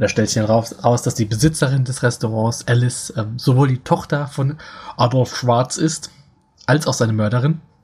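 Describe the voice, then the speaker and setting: At a moderate pace, a man speaks with a medium pitch and fairly even intonation. His voice is somewhat breathy. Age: 40s. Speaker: podcast co-host. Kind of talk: casual chat.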